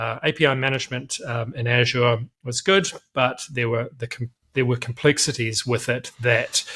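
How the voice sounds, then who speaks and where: At a moderate pace, a man with a New Zealand accent speaks at medium pitch in a bright, sharp tone with fairly even intonation. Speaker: company director. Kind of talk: interview. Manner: hesitant, many fillers.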